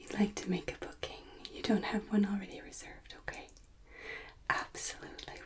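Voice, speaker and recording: A woman is whispering in a gentle tone. She keeps a moderate pace. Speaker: ASMR creator. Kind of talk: ASMR roleplay as a hotel and spa receptionist. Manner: soft-spoken, gentle, polite.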